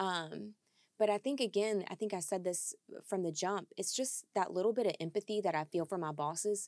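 A woman with a plain, everyday voice speaks at a moderate pace and medium pitch with ordinary pitch variation, in a dry, close sound with no echo. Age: 30s. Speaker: widow sharing grief story. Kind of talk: interview conversation.

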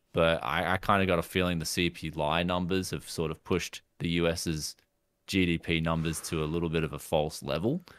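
A man with an Australian accent speaks at a fairly quick pace in a very deep, low pitch. His intonation is monotone and flat, on a very clean recording with a silent background. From Queensland, Australia. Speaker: tech YouTuber. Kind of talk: casual chat.

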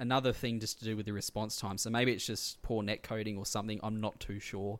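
With a medium pitch and a fairly quick pace, a man talks on a very clean recording with a silent background. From Australia. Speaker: podcast host. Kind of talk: casual chat.

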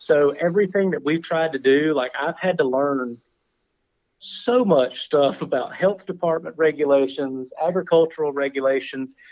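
Moderate speed, ordinary rises and falls in pitch, and a normal speaking voice. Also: man, fairly high pitch for a man. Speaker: cookie baker, business owner. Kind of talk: casual interview chat.

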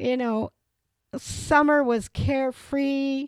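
A very clean recording with a silent background, ordinary pitch variation, and a Wisconsin accent. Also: woman. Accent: Upper Midwest (Wisconsin). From Wisconsin, Reedsburg. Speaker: local historian. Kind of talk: interview. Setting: in a home.

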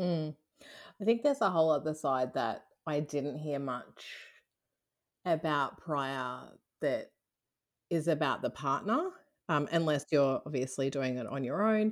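A woman's very deep, low voice at a fairly slow pace with long, frequent pauses and ordinary pitch variation, on a very clean recording with a silent background. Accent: Australian. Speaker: IVF patient sharing her story. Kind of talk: interview, personal testimony.

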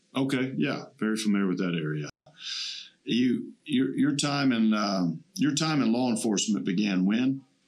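An unremarkable speaking voice from a man at medium pitch, with lively intonation and a moderate pace. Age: 50s. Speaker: podcast host, veteran. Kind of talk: casual interview. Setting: studio.

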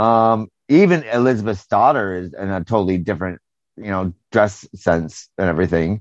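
A man's plain, everyday voice with an American accent, fairly low in pitch and with ordinary pitch variation. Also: moderate pace. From United States. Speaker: podcast host. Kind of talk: casual chat. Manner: casual, conversational.

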